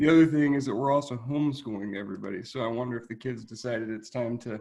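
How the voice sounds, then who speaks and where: The man talks at a very fast pace and a medium pitch. His pitch variation is ordinary. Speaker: state veterans program manager. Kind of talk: presentation. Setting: video call.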